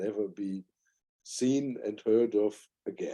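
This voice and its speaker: A man speaks with a German accent. His pace is fairly slow. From Germany. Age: 60s. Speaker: spiritual teacher and author. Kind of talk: podcast interview.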